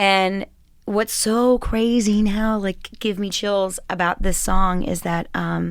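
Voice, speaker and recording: A woman talks at a very slow pace. Her voice has a medium pitch. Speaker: singer-songwriter. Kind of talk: casual chat. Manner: animated.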